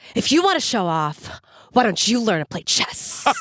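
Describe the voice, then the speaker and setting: A put-on character voice, fairly high in pitch, with very wide pitch swings, hissing and a moderate pace. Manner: mad, scolding, hissing the S sounds.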